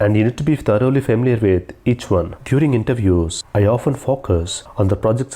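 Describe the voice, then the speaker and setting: Speaking at a fairly quick pace with an Indian accent, a man uses a fairly low pitch and ordinary pitch variation. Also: very even loudness. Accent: Indian English (Telugu). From South India, Telugu-speaking. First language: Telugu. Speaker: SAP integration consultant and interviewer. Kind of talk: tutorial.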